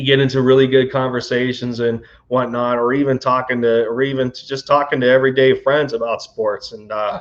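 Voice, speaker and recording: This man talks at a fairly quick pace with hardly any pauses. His medium pitch stays monotone and flat. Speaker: sports YouTuber. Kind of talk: live stream chat. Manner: stuttering, halting; casual, filler-heavy.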